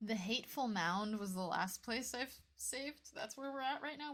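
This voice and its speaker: A soft-spoken woman at a moderate pace, with lively intonation. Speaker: video game streamer. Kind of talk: live game stream chat.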